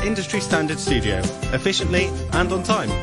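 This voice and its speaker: Over loud music in the background, a man talks at a fairly quick pace, the sound dry with no echo. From Wales. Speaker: voice actor. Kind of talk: casual pitch to clients. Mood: upbeat, friendly, selling. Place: studio. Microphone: studio mic.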